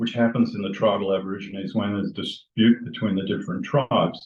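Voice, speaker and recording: A man speaks with an Australian accent. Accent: Australian, still present. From Australia (Western Australia). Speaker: retired doctor. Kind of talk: personal storytelling to a group. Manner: halting, with restarts.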